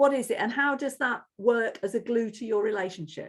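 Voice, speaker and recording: Pitch shifts in an ordinary way. The delivery is fairly quick. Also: woman. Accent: English Midlands. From Corby, English Midlands. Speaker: interviewer, activist. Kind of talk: interview.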